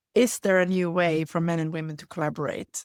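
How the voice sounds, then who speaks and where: This woman's voice sits fairly low and moves at a moderate pace. The recording is very clean and dry, close with no echo, over a silent background. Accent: Swedish. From Sweden. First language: Swedish. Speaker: leadership facilitator. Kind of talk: interview conversation. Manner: halting.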